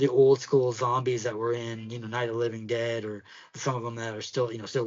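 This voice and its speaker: A man with a Pittsburgh accent, medium in pitch, flat and monotone in intonation, at a very fast pace. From Pittsburgh, US. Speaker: podcast co-host. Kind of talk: casual chat. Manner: halting, many fillers.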